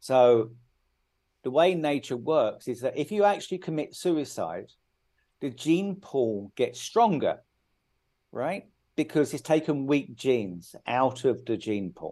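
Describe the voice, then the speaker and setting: Against a quiet background, a man with a British accent speaks fairly slowly in a fairly high pitch and a dark, mellow tone, his pitch swinging very widely between long, frequent pauses. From UK. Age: 50s. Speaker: author. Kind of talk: interview.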